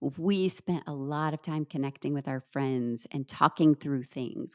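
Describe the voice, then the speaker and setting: Vocal fry marks a woman's voice. The recording is very clean and dry, close with no echo and a silent background. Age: middle-aged. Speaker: speaker and author. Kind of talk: interview.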